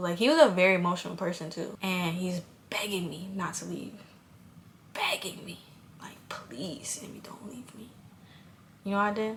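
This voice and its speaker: Audible room echo surrounds a woman speaking at a moderate pace. Her medium pitch shows ordinary variation. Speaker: YouTuber. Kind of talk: storytime. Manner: animated.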